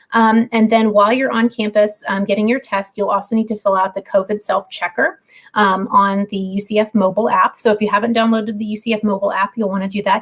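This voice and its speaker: The speech comes at a very fast pace with hardly any pauses, somewhat breathy and in a monotone, flat intonation. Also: woman, fairly high pitch for a woman. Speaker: university housing staff. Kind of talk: livestream Q&A. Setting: video livestream.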